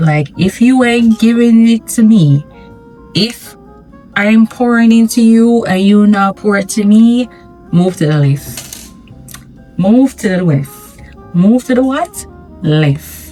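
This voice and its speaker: A woman with a medium-pitched voice speaks at a very slow pace with lively intonation and long, frequent pauses, while music plays in the background. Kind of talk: casual talk to camera. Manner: chatty, candid.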